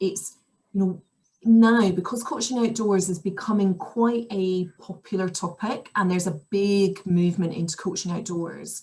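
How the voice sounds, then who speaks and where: With a Scottish accent, a woman speaks at a moderate pace in a medium pitch, her dark, mellow tone somewhat breathy and her intonation fairly even. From Scotland. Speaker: outdoor coach. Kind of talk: podcast interview answer.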